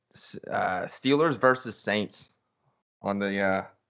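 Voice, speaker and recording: In a Western Pennsylvania accent, a man talks at a very slow pace with ordinary pitch variation. The background is quiet. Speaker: podcast co-host. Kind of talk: casual chat.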